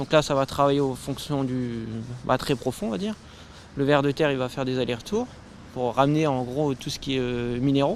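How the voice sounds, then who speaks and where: Fairly quick, medium-pitched male speech with ordinary pitch variation, broken by long, frequent pauses. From northeastern France. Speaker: permaculture association founder. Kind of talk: interview. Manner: hesitant.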